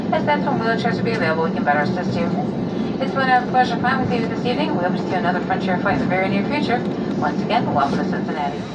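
A woman talks at a very fast pace. Loud background noise runs under her voice. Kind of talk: in-flight PA announcement. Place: plane.

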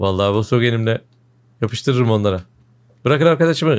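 A man with a medium-pitched voice speaks in an animated tone. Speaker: gaming video creator. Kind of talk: gameplay commentary.

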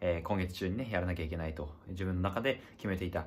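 A man's very deep, low, somewhat breathy voice at a fairly quick pace, over light background noise. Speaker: video diary vlogger. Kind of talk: casual vlog chat. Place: home room. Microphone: phone near.

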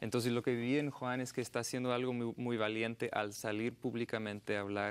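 A man's very fast speech with fairly even intonation. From United States. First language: English (speaking Spanish). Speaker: journalist and filmmaker; journalist. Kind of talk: TV interview. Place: studio. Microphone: lapel.

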